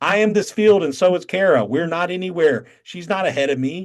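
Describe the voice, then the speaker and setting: Speaking at a moderate pace over a quiet background, a man talks with a Southern accent. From North Carolina. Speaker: satsang teacher. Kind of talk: spiritual teaching on video call. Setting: video call.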